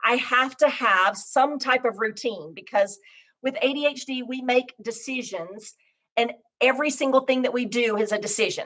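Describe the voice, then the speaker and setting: The voice belongs to a woman and sits high. Its pitch varies in an ordinary way. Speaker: life and business coach. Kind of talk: motivational talk. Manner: fast.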